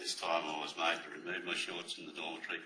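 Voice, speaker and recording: An Australian accent at a fairly quick pace. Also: man. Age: 70s. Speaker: abuse survivor witness at inquiry. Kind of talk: reading aloud witness statement.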